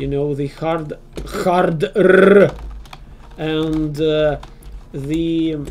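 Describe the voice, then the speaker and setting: A speaker with a Russian accent talks at a very slow pace, leaving long, frequent pauses. Noticeable background noise runs underneath. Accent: Russian accent, self-described as horrible. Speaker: video game streamer. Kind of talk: casual chat. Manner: halting, many pauses and fillers.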